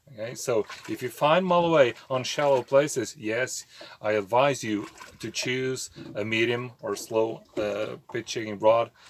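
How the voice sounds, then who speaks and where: Speaking in a Portuguese accent, the voice moves at a fairly slow pace with ordinary pitch variation. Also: man, medium pitch for a man. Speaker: fishing YouTuber. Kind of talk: tutorial. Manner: halting, many fillers.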